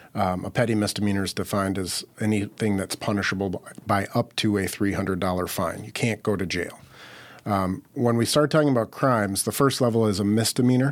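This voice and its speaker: A man with an American accent uses a normal speaking voice, fairly low in pitch, talking at a fairly quick pace with ordinary pitch variation in a very clean recording with a silent background. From Minnesota (Minneapolis). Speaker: criminal defense attorney. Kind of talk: interview.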